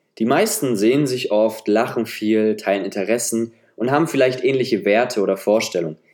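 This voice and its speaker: In a normal speaking voice, a man talks at a fairly quick pace and medium pitch, with ordinary pitch variation and very even loudness. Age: 20s. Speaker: solo podcaster. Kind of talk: personal monologue.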